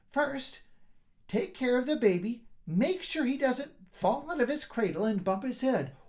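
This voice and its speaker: A put-on character voice, fairly high in pitch, moves along at a moderate pace. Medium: read story. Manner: firm, no-nonsense.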